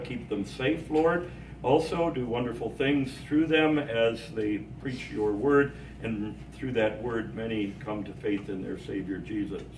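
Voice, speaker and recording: A man with ordinary pitch variation speaks at a moderate pace while noticeable background noise runs underneath. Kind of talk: informal group address, then prayer. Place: hall. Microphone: camera far.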